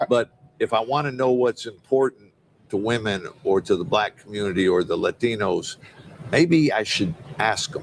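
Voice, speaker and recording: Dry and close with no echo, a man of medium pitch speaks at a moderate pace with an American accent. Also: ordinary pitch variation. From Detroit, Michigan. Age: 60s. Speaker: city mayor and restaurant owner. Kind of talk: interview conversation. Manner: animated, conversational.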